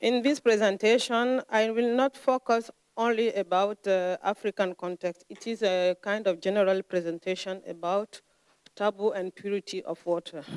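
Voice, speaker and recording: At a medium pitch and moderate pace, a woman with a non-native accent speaks with ordinary pitch variation in a dry, close sound with no echo. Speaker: lecturer. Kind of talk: lecture. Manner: halting, frequent hesitations.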